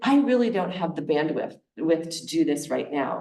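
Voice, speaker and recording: With audible room echo around her, a woman speaks slowly-ish at a fairly slow pace, her dark, mellow tone shaped by lively intonation. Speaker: charitable giving advisor. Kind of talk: presentation to a congregation. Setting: meeting room with audience, also on Zoom.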